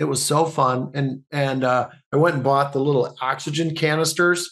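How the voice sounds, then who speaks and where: A fairly high-pitched man at a moderate pace, in a monotone, flat delivery. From Canada. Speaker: actor and comedian. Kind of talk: podcast interview, casual conversation.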